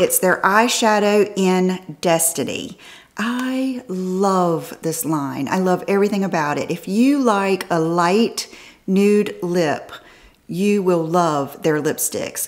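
With a quiet background, a woman speaks at a very slow pace and medium pitch, using ordinary pitch variation. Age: 50s. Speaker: fashion and beauty vlogger; beauty vlogger. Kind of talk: casual haul video talk to camera. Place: home room.

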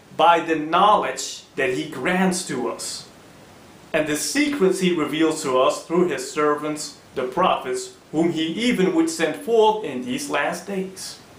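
A man speaks at a fairly slow pace, with audible room echo. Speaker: presenter. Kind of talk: sermon. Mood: earnest, persuasive preaching.

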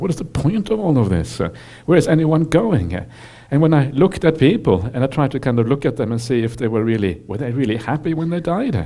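At a fairly quick pace, a man speaks against a quiet background. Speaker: Buddhist monk teacher. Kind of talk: dharma talk to audience. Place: hall. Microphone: headset.

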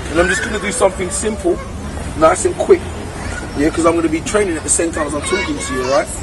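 Music plays in the background while a man talks at a fairly quick pace in a dry sound with no echo. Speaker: fitness trainer. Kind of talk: tutorial. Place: street. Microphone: camera far.

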